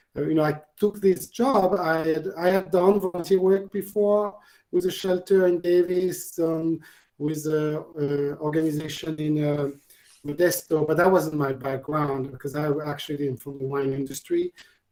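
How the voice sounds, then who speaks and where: In a French accent, a man speaks with a dark, mellow tone and a fairly high pitch. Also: ordinary pitch variation, moderate pace. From France, Normandy. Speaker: family resource center supervisor. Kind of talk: casual Q&A. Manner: halting, many fillers and repeats.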